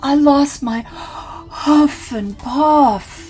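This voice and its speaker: Someone performs in a put-on character voice. Clear music plays in the background. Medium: read story.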